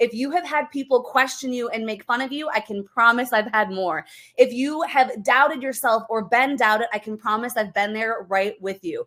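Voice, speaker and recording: Bright, sharp and energetic, a woman's high voice moves at a moderate pace with ordinary pitch variation and hardly any pauses. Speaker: network marketing team leader. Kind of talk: motivational talk.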